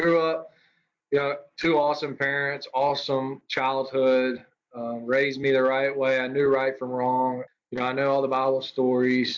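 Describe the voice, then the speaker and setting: A man's medium-pitched voice in a Mississippi accent, monotone with flat intonation. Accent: Southern US (Mississippi). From US South, Mississippi. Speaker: college baseball coach. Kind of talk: podcast interview. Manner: halting, with fillers and repeats.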